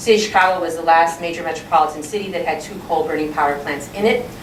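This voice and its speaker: Over noticeable background noise and audible room echo, a woman talks at a very fast pace in a fairly low pitch with fairly even intonation. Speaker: community organization director. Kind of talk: talk to an audience. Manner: loud.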